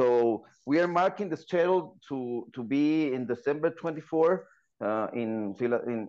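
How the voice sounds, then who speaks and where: In a quiet background, a man speaks in a Spanish accent with lively intonation and a fairly high pitch. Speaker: football podcast co-host. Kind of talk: podcast interview.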